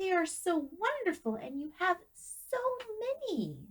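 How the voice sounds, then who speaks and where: Squeaky and extremely high-pitched, a woman speaks in a put-on character voice. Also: moderate pace. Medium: read story.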